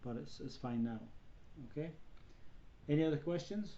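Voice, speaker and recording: There is audible room echo around this man's dark, mellow tone. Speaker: college professor. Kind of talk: online lecture. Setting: video conference. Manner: fast.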